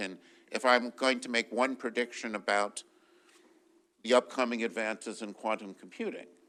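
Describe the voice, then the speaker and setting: A man's bright, sharp tone at medium pitch and a moderate pace. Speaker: physicist and research funder. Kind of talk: panel discussion. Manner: loud.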